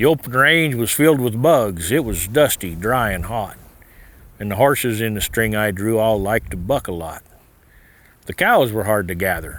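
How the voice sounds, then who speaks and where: In a normal speaking voice with an American accent, a man talks at a moderate pace and a fairly low pitch, his intonation lively. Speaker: cattle rancher and cowboy poet. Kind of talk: poetry reading.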